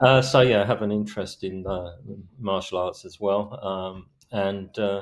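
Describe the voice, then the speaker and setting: This man's voice sits fairly low, and he has a South London accent. He talks at a moderate pace over a silent background in a very clean recording. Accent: old South London. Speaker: author. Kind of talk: podcast interview. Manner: hardly opens mouth, stone-faced delivery; hesitant, many fillers.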